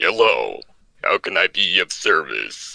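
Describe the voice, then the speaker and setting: Here a man uses a put-on character voice. He goes at a fairly slow pace. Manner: robotic, polite.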